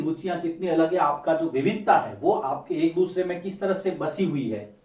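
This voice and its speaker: A man's high-pitched voice, with audible room echo and noticeable background noise. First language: Marwari (speaking Hindi). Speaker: teacher. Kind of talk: lecture.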